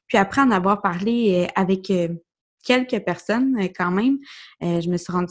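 Recorded very cleanly against a silent background, a woman speaks at medium pitch with ordinary pitch variation. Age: 20s. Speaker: podcast host. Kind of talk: solo podcast monologue. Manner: hesitant, many fillers.

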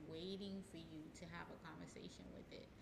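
At a moderate pace, a woman speaks in a fairly low voice with audible room echo. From Haiti. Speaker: hypnotherapist. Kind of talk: casual interview.

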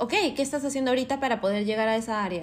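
Animated and bright, a woman speaks in a sharp tone. Her pitch is fairly high, with ordinary variation. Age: 30s. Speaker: podcast host. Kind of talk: casual monologue.

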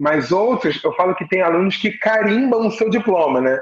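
This man's voice sits high in pitch, with lively intonation. He talks at a moderate pace. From Brazil, Rio de Janeiro. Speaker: teacher and choir conductor. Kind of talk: casual interview chat.

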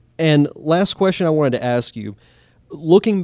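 An ordinary speaking voice from a man with an American accent, at a fairly slow pace on a very clean recording with a silent background. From Pensacola, Florida. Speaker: podcast host. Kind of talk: podcast narration; podcast interview.

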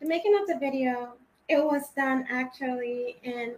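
Her pitch is high, with ordinary variation. This woman keeps a moderate pace. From Trinidad; Rhode Island, US. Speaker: singer. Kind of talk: casual interview chat.

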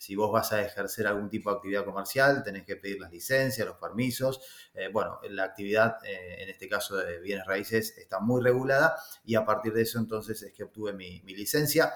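Speaking at a fairly quick pace with an Argentine accent, a man uses a fairly low pitch with ordinary pitch variation. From Argentina. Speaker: real estate agent. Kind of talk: interview. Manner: hesitant, with many fillers.

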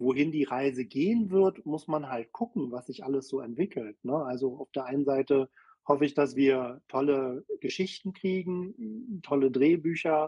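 In an ordinary speaking voice, a man talks at a moderate pace with a fairly high pitch and ordinary pitch variation. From Berlin. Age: 50s. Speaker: social media creator. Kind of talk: casual chat.

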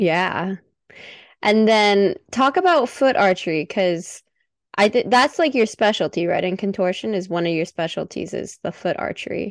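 A woman with an ordinary speaking voice uses lively intonation at a medium pitch and a moderate pace. The background is quiet. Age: 20s. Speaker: podcast host. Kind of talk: casual chat.

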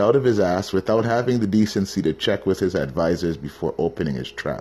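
A man with a Canadian accent speaks at a fairly quick pace in a dark, mellow tone, with vocal fry and very wide pitch swings. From Canada. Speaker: podcast host. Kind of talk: casual monologue.

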